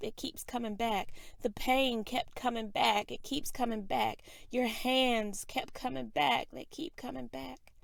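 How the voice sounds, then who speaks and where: Quiet and fairly slow, a woman talks in a fairly high pitch. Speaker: spoken word poet. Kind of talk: spoken word poetry reading.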